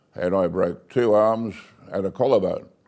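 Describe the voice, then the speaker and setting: A man with an Australian accent, a dark, mellow tone and fairly even intonation. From Australia, Bowral, New South Wales. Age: 80s+. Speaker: retired family business owner. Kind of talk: life story interview. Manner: casual, with hesitations.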